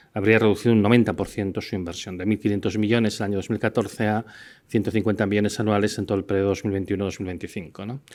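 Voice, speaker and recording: Fairly low-pitched male speech at a very fast pace, monotone and flat, in a very clean recording with a silent background. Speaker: scientist giving a university lecture. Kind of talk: lecture. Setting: university lecture hall with audience. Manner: hesitant, many fillers.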